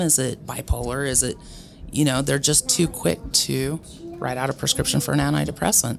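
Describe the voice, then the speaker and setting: A woman speaks in an energetic tone. Noticeable background noise can be heard behind her. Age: middle-aged. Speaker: medical cannabis patient. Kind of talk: interview. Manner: loud.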